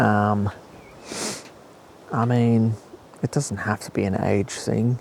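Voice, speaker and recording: Noticeable background noise surrounds a man who talks at a fairly slow pace. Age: 30s. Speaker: fitness podcaster. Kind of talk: solo podcast monologue. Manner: subdued, not so positive; hesitant, many fillers.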